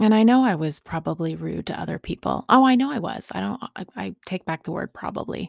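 A woman talks at a fairly quick pace with hardly any pauses. The sound is dry and close with no echo, on a very clean recording with a silent background. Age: 40s. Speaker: podcast host in recovery. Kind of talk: personal testimony monologue. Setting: home recording studio. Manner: halting with repetitions.

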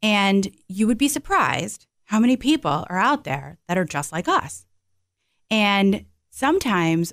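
A woman at medium pitch speaks fairly slowly with very wide pitch swings. The recording is very clean with a silent background and a dry, close sound with no echo. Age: 40s. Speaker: financial advisor. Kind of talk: casual chat.

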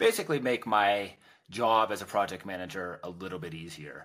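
Fairly quick and fairly low, a man with an American accent speaks in a normal speaking voice with ordinary pitch variation. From Pittsburgh, Pennsylvania. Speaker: no-code developer. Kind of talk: casual podcast conversation. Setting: video call.

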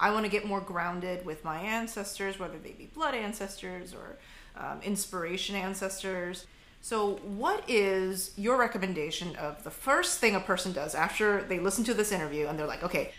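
Her loudness swinging widely, a woman talks in an unremarkable speaking voice at a medium pitch and moderate pace with ordinary pitch variation. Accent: American. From Korean American. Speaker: podcast host. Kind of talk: interview.

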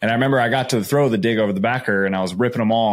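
In a very clean recording with a silent background, a man talks very fast with an American accent. His intonation stays fairly even. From Arizona, Phoenix. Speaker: NFL quarterback. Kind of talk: casual chat.

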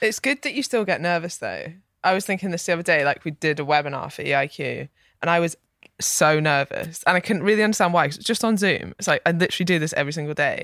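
A woman with a Scottish accent speaks very fast at a fairly low pitch, in a very clean recording with a silent background and a dry, close sound with no echo. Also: ordinary pitch variation. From Scotland. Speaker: fitness coach. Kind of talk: casual chat.

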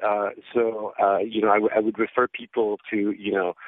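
This man has a normal speaking voice. His pitch is medium and his pace is moderate. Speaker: psychiatry professor. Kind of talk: interview.

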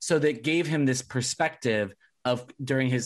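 With an American accent, a man uses a normal speaking voice at medium pitch, moderate pace and fairly even intonation. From Southern California. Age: 20s. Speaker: podcast host. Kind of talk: casual interview chat.

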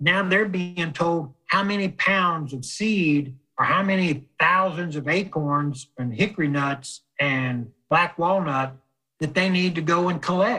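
Speaking at a fairly slow pace, a man with an American accent has a high pitch, ordinary pitch variation and a bright, sharp tone. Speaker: forester and military veteran. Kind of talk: interview.

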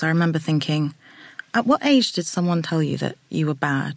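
A woman with a British accent, a very deep, low pitch and a fairly quick pace. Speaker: psychotherapist. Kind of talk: interview conversation.

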